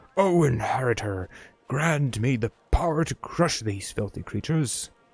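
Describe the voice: Putting on a character voice, a man talks at a medium pitch and moderate pace with lively intonation.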